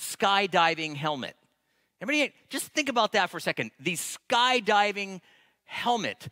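Over a quiet background, a man speaks in a raised, projected voice with a bright, sharp tone, ordinary pitch variation and a moderate pace. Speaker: pastor. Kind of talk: sermon. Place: church. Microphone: headset.

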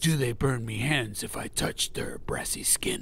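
A man is whispering. He keeps a moderate pace. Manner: blunt, hearty.

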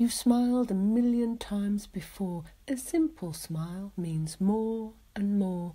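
At a very slow pace, the speaker uses a soothing, gentle, dark and mellow tone that is somewhat breathy, with lively intonation. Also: woman, medium pitch for a woman. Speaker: hypnotherapist. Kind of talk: guided hypnosis with rhyming poetry. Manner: slow, soothing, rhythmic; soft-spoken, gentle, hypnotic cadence.

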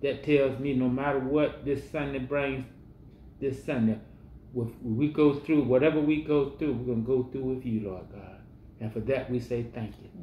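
A man talks at a moderate pace in a somewhat breathy voice with fairly even intonation, over light background noise and audible room echo. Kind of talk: prayer. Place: home room. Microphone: camera far.

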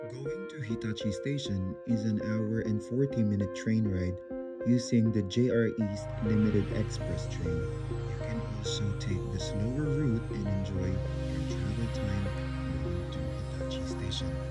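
With music in the background, a man's delivery runs fairly slowly. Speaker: vlog narrator. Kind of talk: travel narration.

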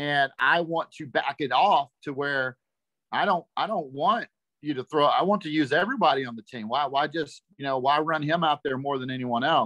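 Over a quiet background, a voice with a bright, sharp tone and a Texan accent moves at a moderate pace with ordinary pitch variation. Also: man, fairly high pitch for a man. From Texas. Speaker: parent of a young pitcher. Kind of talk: question to a panel. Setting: video call on a phone. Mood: earnest, concerned parent. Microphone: video call.

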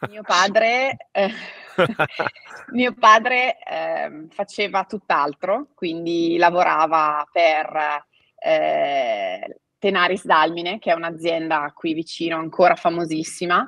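A woman speaks very slowly at a fairly low pitch, her tone bright and sharp. Her intonation is lively, her loudness swings widely, and the background is quiet. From Italy. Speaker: family owner of cycling apparel company; guest. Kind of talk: interview. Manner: hesitant, with fillers. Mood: friendly, storytelling. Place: home room.

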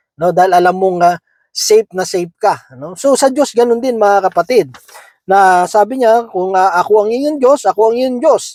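The speaker talks at a moderate pace with ordinary pitch variation, and the sound is dry and close with no echo. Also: man, high pitch for a man. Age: 40s. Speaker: lay preacher. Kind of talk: Bible devotional talk. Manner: halting, many fillers.

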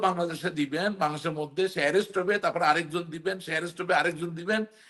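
This is a man speaking. His pitch sits high. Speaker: politician. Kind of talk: talk show interview.

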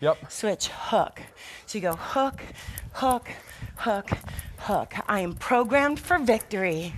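A woman's very slow speech with long, frequent pauses and very wide pitch swings, over light background noise. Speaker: fitness instructor. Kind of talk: workout instruction. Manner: rhythmic coaching. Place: studio. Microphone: lapel.

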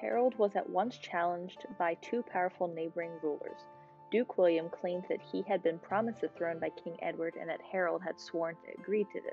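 A woman's fairly low voice at a fairly quick pace, ordinary pitch variation, music playing behind. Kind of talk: tutorial narration with history explanation. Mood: calm, friendly.

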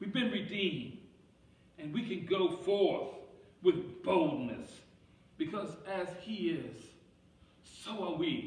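A man speaks at a very slow pace, leaving long, frequent pauses, and his pitch swings very widely. Audible room echo surrounds his voice. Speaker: pastor. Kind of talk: sermon. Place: church.

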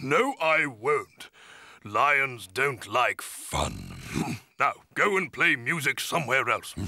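Very slow pace in a cartoonish character voice. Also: man, fairly high pitch for a man. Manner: irritated, shouting.

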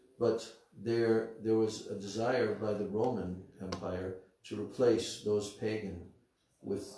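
Against noticeable background noise and audible room echo, a man with an American accent talks in a fairly low pitch with ordinary pitch variation. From United States. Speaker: spiritual teacher. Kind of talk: religious lecture. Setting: temple. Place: home room.

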